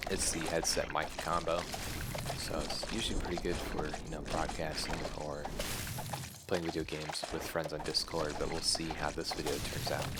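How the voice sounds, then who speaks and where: Soft-spoken and relaxed in tone, a man with a very deep, low pitch speaks at a moderate pace in a monotone, flat intonation over noticeable background noise. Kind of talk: ASMR gameplay commentary. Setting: headset microphone. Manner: soft-spoken, relaxed.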